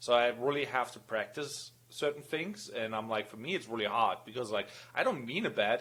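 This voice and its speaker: A man with a German accent speaks at a moderate pace, his pitch varying in an ordinary way. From Germany. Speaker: podcast co-host. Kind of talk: casual chat.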